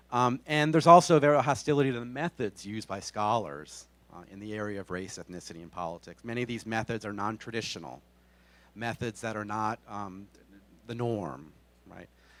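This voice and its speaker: With an American accent, a man with an unremarkable speaking voice and a fairly low pitch talks fairly quickly, his intonation lively and his loudness swinging widely. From Texas. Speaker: political science professor. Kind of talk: lecture. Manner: frequent fillers (um, uh).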